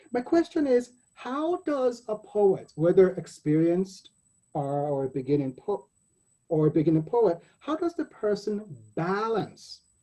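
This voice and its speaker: A man's high-pitched voice at a fairly slow pace, with very wide pitch swings and music in the background. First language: not English. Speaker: poet and anthology editor hosting panel. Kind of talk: panel discussion. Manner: halting, self-correcting.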